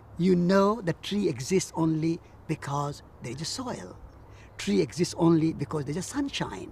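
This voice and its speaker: Here a man speaks in a high pitch. His pace is moderate. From India. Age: 70s. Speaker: peace activist and author. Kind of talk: interview.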